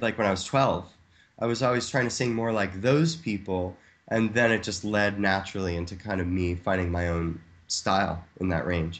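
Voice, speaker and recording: The background is quiet as a man talks with an American accent. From Ohio, US Midwest. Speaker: singer-songwriter and film composer. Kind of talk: podcast interview.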